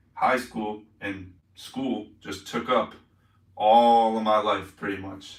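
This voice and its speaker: Heard with audible room echo, a man talks in a fairly low, monotone voice with flat intonation. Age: 20s. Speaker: live streamer, fitness youtuber. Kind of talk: casual live stream chat. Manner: casual, rambling filler-heavy.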